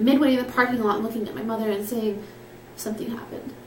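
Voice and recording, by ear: With a fairly bright tone and fairly even intonation, a woman speaks fast in a room with audible echo.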